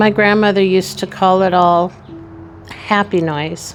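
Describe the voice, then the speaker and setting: A woman's voice with ordinary pitch variation over music in the background. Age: 60s. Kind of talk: personal reflective talk to camera.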